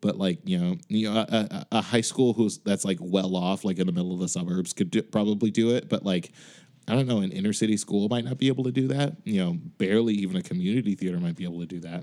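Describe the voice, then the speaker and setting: Talking at a very fast pace, a man with an American accent has a dark, mellow tone. The recording is very clean with a silent background. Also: fairly low pitch for a man, ordinary pitch variation. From Chicago. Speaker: music director. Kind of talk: casual chat.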